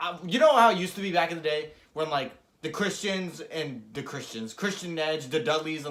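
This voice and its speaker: In a room with audible echo, a man talks at a fairly quick pace in a fairly high pitch, his tone animated, bright and sharp, with ordinary pitch variation. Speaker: wrestling show reviewer. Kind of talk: casual chat. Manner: stumbling over words.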